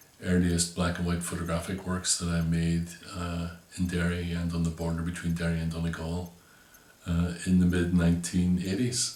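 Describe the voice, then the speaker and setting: A man talks at a moderate pace in a Northern Irish accent. His pitch is very deep and low, and his intonation is monotone and flat. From Northern Ireland. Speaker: visual artist. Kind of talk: interview answer explaining his artwork. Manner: hesitant, thoughtful, many fillers.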